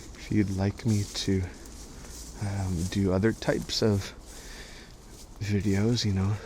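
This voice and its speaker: Soft-spoken and somewhat breathy, a man speaks at a very slow pace in a fairly low, monotone voice with flat intonation. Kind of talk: ASMR guided walk. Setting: outdoors.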